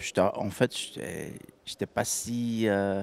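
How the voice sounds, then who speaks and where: A man speaks with a Belgian accent. His pitch sits fairly low. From Belgium. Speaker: professional golfer. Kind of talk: interview. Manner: halting, many fillers.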